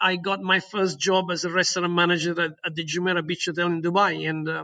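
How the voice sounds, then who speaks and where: A man's high, bright, sharp voice with an Italian accent, fairly even intonation and a quiet background. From southern Italy. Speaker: hotel general manager. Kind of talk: interview. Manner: hesitant, many repetitions.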